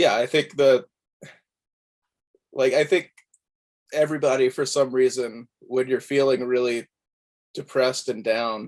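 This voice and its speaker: In an American accent, the speaker goes at a fairly slow pace with fairly even intonation and long, frequent pauses. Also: man, medium pitch for a man. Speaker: musician. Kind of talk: interview. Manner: halting.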